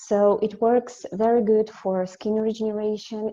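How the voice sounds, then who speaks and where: This woman has a Russian accent. She speaks at a fairly slow pace. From Russia, Siberia. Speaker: company representative. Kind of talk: webinar presentation. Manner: halting, many fillers.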